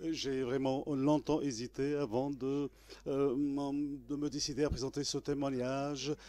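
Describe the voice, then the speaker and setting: In a very clean recording with a silent background, a man with an Arabic accent speaks very slowly at a fairly high pitch, his tone dark and mellow and his intonation monotone and flat. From Tunisia, Gafsa mining basin. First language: Arabic (speaking French). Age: 60s. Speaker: trade unionist and former political prisoner. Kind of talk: testimony. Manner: halting, many hesitations; formal.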